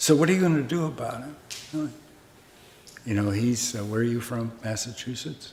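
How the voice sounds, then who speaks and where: With an American accent, a man talks at a medium pitch and a moderate pace with ordinary pitch variation amid audible room echo. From US Midwest, Omaha, Nebraska. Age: 80s+. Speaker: Zen master, Buddhist monk teacher. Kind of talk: dharma talk with questions and answers. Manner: casual, conversational.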